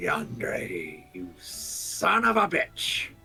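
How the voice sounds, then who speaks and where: A man puts on a character voice at a medium pitch. Faint music plays in the background. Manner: gruff.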